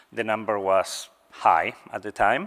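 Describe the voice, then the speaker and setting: A man with a non-native accent, fairly low in pitch, in a monotone, flat intonation. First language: not English. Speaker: scientist, cancer research program director. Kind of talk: conference talk. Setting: stage with audience. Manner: hesitant, with fillers.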